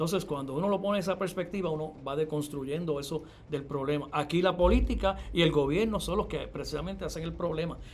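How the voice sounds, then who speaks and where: Talking at a very fast pace, a man keeps his fairly high pitch on a fairly even intonation. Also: hardly any pauses. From Puerto Rico, Yabucoa (east). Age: 50s. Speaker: university professor and bilingualism expert. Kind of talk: interview.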